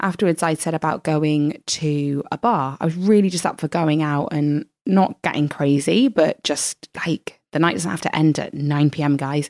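Dry and close with no echo, a woman's very deep, low voice carries a British accent and ordinary pitch variation. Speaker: podcaster and blogger. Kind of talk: personal storytelling interview.

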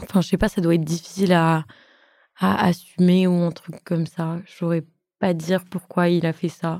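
In a very clean recording with a silent background, a woman speaks at a moderate pace with a fairly low pitch, a dark, mellow tone and monotone, flat intonation. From Eastern Europe, raised in France from age 6. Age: young. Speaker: young interviewee. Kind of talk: casual chat.

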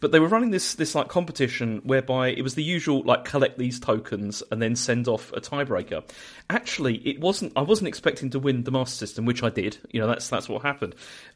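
A man at a medium pitch, with lively intonation, a very fast pace, and hardly any pauses. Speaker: podcaster. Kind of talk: casual chat.

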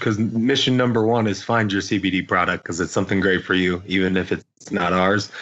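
In an unremarkable speaking voice with an American accent, a man talks at a fairly quick pace with hardly any pauses, very even loudness and fairly even intonation. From US Midwest, Indiana. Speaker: company founder and CEO. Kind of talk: interview.

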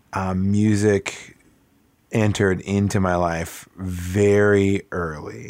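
A man with an American accent speaks at a very slow pace and a fairly low pitch with ordinary variation, on a very clean recording with a silent background. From northern Wisconsin (Eau Claire). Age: 30s. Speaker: musician. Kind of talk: casual interview. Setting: home basement studio.

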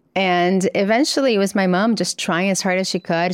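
The recording is very clean with a silent background and a dry, close sound with no echo, carrying a woman's fairly low-pitched voice. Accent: Portuguese. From Brazil. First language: Portuguese. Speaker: psychiatry professor and author. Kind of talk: interview.

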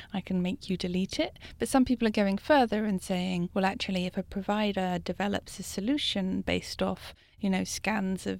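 Heard in a very clean recording with a silent background, the speaker has a British accent, a moderate pace and ordinary pitch variation. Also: woman. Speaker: journalist interviewer. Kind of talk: interview.

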